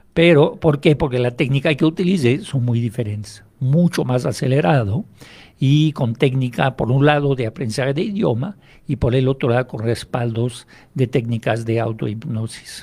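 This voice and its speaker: Dark, mellow tone and a somewhat breathy quality in a man's speech. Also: medium pitch for a man, ordinary pitch variation, moderate pace. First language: French (speaking Spanish). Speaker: hypnotherapist. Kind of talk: radio interview.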